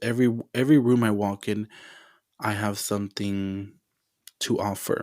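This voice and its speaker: Long, frequent pauses break up a man's fairly low voice, which keeps fairly even intonation at a moderate pace. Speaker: podcast host. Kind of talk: motivational monologue. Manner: loud.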